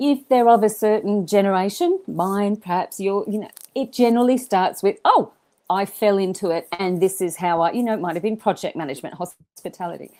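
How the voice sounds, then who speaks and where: A woman speaks fairly quickly with an Australian accent, her dark, mellow voice at a medium pitch with ordinary variation. The recording is very clean with a silent background. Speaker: event management school leader. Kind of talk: podcast interview. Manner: animated; halting.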